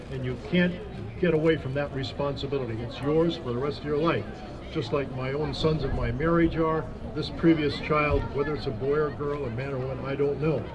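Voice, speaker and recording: A man's fairly high voice at a fairly quick pace, fairly even in intonation, over noticeable background noise. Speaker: protester and birth father advocating for adoptee rights. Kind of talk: impassioned protest speech at a rally, personal testimony. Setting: outdoors at a protest outside a legislator's office. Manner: earnest, emotional, halting with repeated restarts; firm and resolute, indignant. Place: street. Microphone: handheld.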